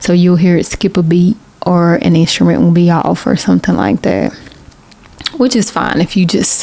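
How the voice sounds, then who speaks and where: A woman with a Southern US accent speaks at a moderate pace in a fairly low voice with ordinary pitch variation. Noticeable background noise can be heard. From US South, Macon, Georgia. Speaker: independent singer-songwriter, video creator. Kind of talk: casual vlog talk.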